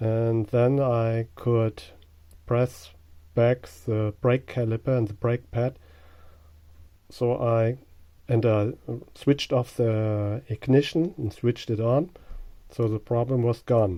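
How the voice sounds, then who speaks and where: In a German accent, a man speaks at a very slow pace with long, frequent pauses. His tone is dark and mellow, and his intonation fairly even. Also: medium pitch for a man. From Germany. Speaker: car owner. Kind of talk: tutorial. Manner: halting.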